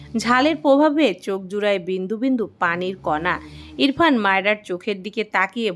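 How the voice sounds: What you hear is a natural reading voice throughout.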